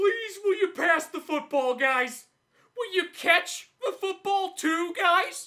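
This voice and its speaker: The voice has an extremely high pitch. The pace is fairly slow. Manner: exasperated, pleading.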